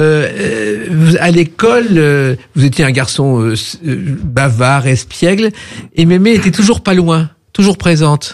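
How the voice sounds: The delivery has lively intonation, few pauses, and a fairly slow pace. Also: man, fairly high pitch for a man.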